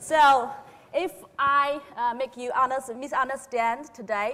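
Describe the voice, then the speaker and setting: Her pace is very slow. The woman speaks with a Chinese accent and ordinary pitch variation. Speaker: grain market analyst. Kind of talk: conference presentation. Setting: conference stage with audience. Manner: halting, many fillers.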